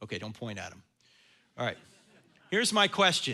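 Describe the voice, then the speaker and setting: A man with a New Jersey accent, bright, sharp tone and very wide pitch swings, on a very clean recording with a silent background. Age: 60s. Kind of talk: lecture and Q&A at church event. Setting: church stage with audience.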